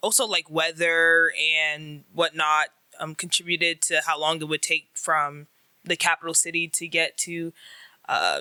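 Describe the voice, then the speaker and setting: A woman's fairly low, bright and sharp voice in an American accent, monotone and flat, at a fairly slow pace, with a dry, close sound with no echo and a very clean recording against a silent background. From United States. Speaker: university student, interview guest. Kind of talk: interview. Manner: hesitant, many fillers.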